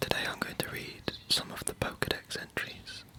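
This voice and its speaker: A man whispers at a moderate pace. Background noise is noticeable. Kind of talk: ASMR reading. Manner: whispered.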